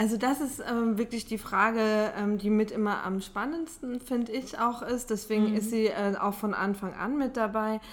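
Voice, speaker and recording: The speech moves at a moderate pace with hardly any pauses. Its intonation is fairly even. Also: woman, fairly high pitch for a woman. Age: 30s. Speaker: social sector statistics staff member. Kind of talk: interview. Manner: hesitant with filler sounds.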